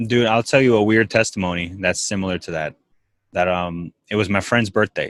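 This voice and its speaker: With a fairly quick pace and a normal speaking voice, a man with a fairly low pitch is heard in a dry, close sound with no echo. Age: 20s. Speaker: podcast host. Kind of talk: casual interview chat.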